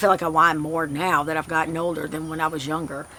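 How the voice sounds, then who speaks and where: The tone is bright and sharp. The speaker has an American accent. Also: woman. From south Louisiana. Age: 50s. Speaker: flower farmer. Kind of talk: casual vlog update. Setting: outdoors. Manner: fast.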